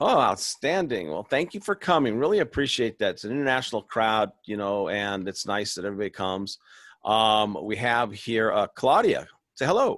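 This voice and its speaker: A man with an American accent, medium-pitched, with lively intonation and a moderate pace, in a dry, close sound with no echo against a quiet background. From Southern California. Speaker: webinar host. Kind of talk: casual chat. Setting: video call.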